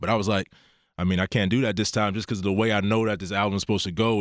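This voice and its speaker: On a very clean recording with a silent background, a man with an American accent speaks in a fairly low pitch. His intonation is monotone and flat, and the sound is dry and close with no echo. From Pittsburgh, Pennsylvania. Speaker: rapper. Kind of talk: interview.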